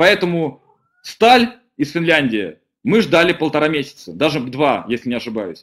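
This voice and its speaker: A man's fairly high voice with vocal fry and very wide pitch swings, at a moderate pace over a quiet background. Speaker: deputy director of an engineering company; webinar presenter. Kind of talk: webinar presentation. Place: home room. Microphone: webcam.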